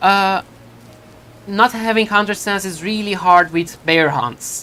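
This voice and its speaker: A woman with a Turkish accent speaks at a very slow pace in a bright, sharp tone. Her pitch is medium, with ordinary pitch variation. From Turkey. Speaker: video game streamer. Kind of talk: live gameplay stream chat. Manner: halting, many fillers and restarts.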